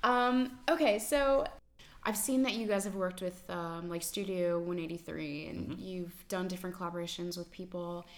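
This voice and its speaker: A woman with a normal speaking voice, medium pitch, ordinary pitch variation and a moderate pace. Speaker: podcast host. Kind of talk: casual interview chat.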